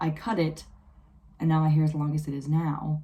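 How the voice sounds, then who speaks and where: A woman with a very deep, low pitch and a dark, mellow tone speaks at a fairly quick pace, sounding somewhat breathy. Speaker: beauty vlogger. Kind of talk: casual storytime vlog.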